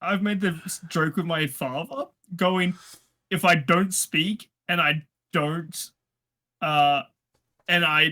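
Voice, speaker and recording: In a very clean recording with a silent background, a man with an Australian accent speaks very slowly at a high pitch, with a bright, sharp tone, fairly even intonation and long, frequent pauses. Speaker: card game player. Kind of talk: casual chat.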